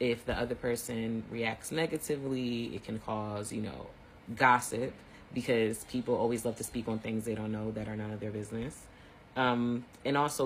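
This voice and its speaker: Somewhat breathy male voice at a medium pitch with fairly even intonation. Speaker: teacher giving online mini lectures. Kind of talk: informal lecture. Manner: fast; casual, conversational.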